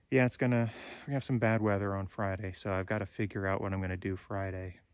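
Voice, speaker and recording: A man speaks in a fairly low pitch with fairly even intonation. The sound is dry with no echo, and the background is quiet. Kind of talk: casual vlog chat. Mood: briefly somber. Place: forest. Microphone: phone near.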